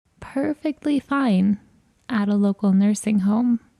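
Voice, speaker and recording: At a fairly slow pace, a woman speaks in a fairly high pitch, somewhat breathy, with a dark, mellow tone. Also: dry, close sound with no echo. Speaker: podcast host. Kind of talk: scripted narration.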